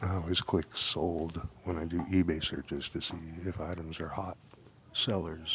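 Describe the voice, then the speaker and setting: A man whispers at a moderate pace. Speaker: live streamer. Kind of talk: live stream commentary. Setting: museum, on site. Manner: whispering.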